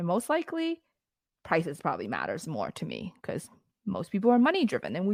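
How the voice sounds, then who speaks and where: A woman speaks at a fairly quick pace and a medium pitch, with vocal fry. The recording is very clean and the background silent. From immigrant to Canada at fourteen. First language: not English. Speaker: lash business founder. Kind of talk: podcast interview. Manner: casual, conversational.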